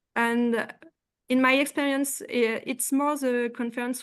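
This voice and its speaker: A woman's high-pitched voice at a fairly slow pace. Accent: French. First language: French. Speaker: postdoctoral researcher. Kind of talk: panel discussion. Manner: halting.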